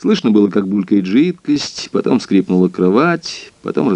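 What we hear is an unforced reading voice.

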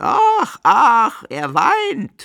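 In a put-on character voice, a man drawls at a very slow pace with very wide pitch swings, vocal fry and a bright, sharp tone on a very clean recording with a silent background.

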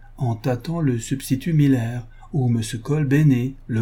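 What you hear is plain reading aloud.

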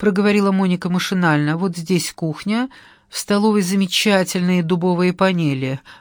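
Someone reads a text aloud. The delivery is plain.

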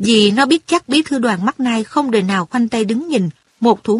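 Against a quiet background, someone reads in a natural reading voice.

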